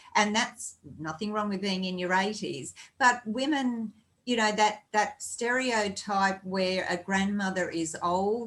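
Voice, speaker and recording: With an Australian accent, a woman talks at a fairly slow pace with ordinary pitch variation. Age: 60s. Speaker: podcast host. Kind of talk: casual chat.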